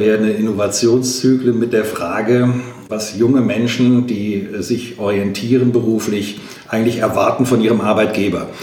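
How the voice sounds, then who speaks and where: Over noticeable background noise and audible room echo, a man speaks in a flat monotone. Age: 50s. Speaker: trade union leader. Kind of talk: interview.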